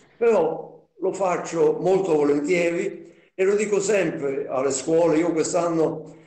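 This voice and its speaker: A man with a high voice speaks very slowly, with fairly even intonation and very even loudness. The room echo is audible, though the background is quiet. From Naples, Italy; Italy. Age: 80s+. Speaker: Holocaust survivor witness; witness. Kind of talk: testimony. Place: home room. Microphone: video call.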